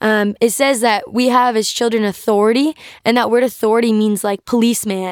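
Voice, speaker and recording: A woman with an American accent speaks at a moderate pace in an unremarkable speaking voice. Her pitch is fairly high with ordinary variation, and the recording is very clean with a silent background. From US South, North Carolina. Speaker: guest sharing faith testimony. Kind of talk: testimony.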